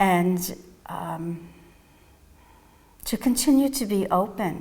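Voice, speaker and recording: In a New York accent, a woman speaks with a calm tone. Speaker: psychotherapist and mindfulness teacher. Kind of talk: interview answers. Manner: calm, reflective.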